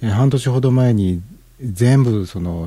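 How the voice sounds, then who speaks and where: This man's voice is fairly low, somewhat breathy, and dark and mellow in tone. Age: 50s. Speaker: internet radio DJ. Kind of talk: casual music show talk. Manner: relaxed, filler-heavy.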